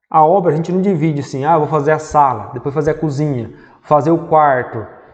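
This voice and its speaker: Audible room echo surrounds a man whose voice sits at a fairly high pitch. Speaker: civil engineer teaching construction management. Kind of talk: lecture.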